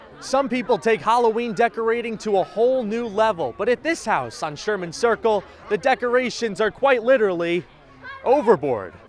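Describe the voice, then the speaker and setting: Against noticeable background noise, a man speaks at a moderate pace in a high pitch with ordinary pitch variation. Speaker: reporter and news anchor. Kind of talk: field news report.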